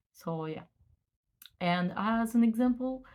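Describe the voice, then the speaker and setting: At a very slow pace, a woman speaks in a somewhat breathy voice. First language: French. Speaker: student of psychomotricity. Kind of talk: casual vlog explanation. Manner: halting, many fillers and restarts.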